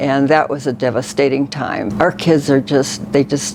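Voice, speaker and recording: A woman speaks with an American accent in a very deep, low pitch. Noticeable background noise runs beneath her. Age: 80s+. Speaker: makeover client, retired church secretary. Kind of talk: personal interview testimony. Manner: halting.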